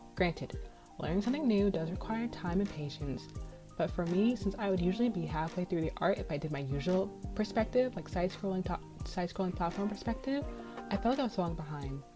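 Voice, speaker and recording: A woman's very fast, lively speech over music in the background. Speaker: indie game developer and pixel artist. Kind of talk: casual devlog talk. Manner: lower and softer.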